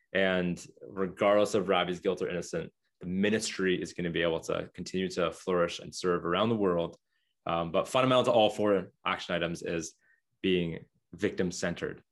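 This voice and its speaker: With a Canadian accent, the speaker talks at a fairly quick pace with fairly even intonation over a quiet background. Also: man, very deep, low pitch for a man. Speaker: former ministry speaker and writer. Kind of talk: interview.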